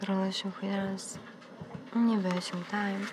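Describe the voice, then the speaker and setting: Very slow and calm, a woman speaks in a soothing tone at medium pitch. Loud background noise runs behind her. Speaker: live casino dealer. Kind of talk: live casino dealer calls. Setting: studio. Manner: calm, soothing. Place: studio.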